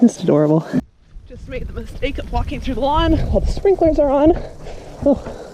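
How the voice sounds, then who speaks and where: A woman talks at a fairly quick pace, broken by long, frequent pauses. Her loudness swings widely, and noticeable background noise is present. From Canada, northern British Columbia. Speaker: professional basketball player and vlogger. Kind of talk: casual vlog.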